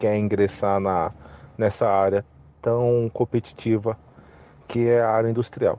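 The voice has a dark, mellow tone and monotone, flat intonation, moving at a fairly slow pace against a quiet background. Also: man. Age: 30s. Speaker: production engineer. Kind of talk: interview.

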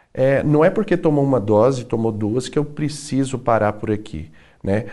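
This man has a dark, mellow tone. He talks at a fairly slow pace. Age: 30s. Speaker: TV and radio host. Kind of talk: talk show interview.

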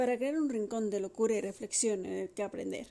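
Her tone is dark and mellow, and this woman speaks at a fairly high pitch with ordinary pitch variation. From Madrid, Spain. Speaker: podcast host. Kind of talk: casual monologue.

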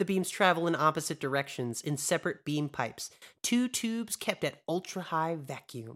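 A man with an ordinary speaking voice talks at a moderate pace and a fairly high pitch. His intonation is lively, and the recording is very clean with a silent background. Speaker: podcast host. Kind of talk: casual chat.

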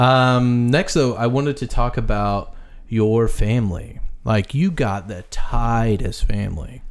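A man with an American accent speaks at a fairly slow pace in a normal speaking voice, with medium pitch and ordinary pitch variation. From US Midwest. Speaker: podcast host. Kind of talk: casual chat.

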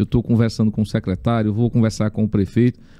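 Speaking very fast, a man uses a medium pitch and a dark, mellow tone. The sound is dry and close, with no echo. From Teresina, Piauí, Brazil. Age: 40s. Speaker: city councillor. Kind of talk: podcast interview.

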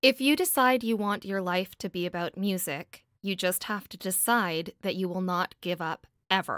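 A woman speaks at a moderate pace in a normal speaking voice, medium in pitch with ordinary variation and hardly any pauses. The recording is very clean with a silent background, and the sound is dry and close with no echo. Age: 30s. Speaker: independent singer-songwriter. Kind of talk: casual interview.

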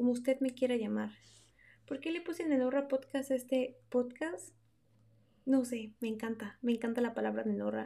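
In a Mexican accent, a woman with a high pitch and a dark, mellow tone speaks at a moderate pace with long, frequent pauses. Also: ordinary pitch variation. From Mexico. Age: 20s. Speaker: podcast host. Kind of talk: casual monologue. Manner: unscripted, hesitant.

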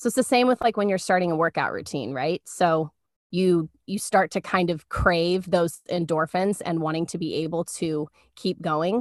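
In a normal speaking voice, a woman with a fairly low pitch and ordinary pitch variation talks at a moderate pace, the sound dry and close with no echo against a quiet background. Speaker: podcast co-host. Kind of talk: casual faith talk. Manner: warm, conversational.

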